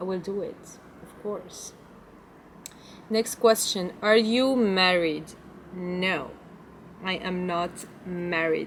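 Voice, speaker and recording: A woman speaks very slowly with a French accent, her medium pitch showing ordinary variation. Her loudness swings widely, and she leaves long, frequent pauses. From Belgium. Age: 20s. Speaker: lifestyle vlogger. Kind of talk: casual Q&A vlog. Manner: halting, non-fluent English.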